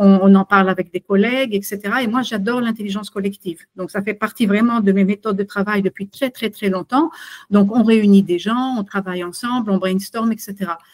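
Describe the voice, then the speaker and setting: A woman speaks at a moderate pace with medium pitch and fairly even intonation. The sound is dry and close, without echo. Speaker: consultant and webinar presenter. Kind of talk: webinar presentation. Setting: video call webinar. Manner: halting, many fillers.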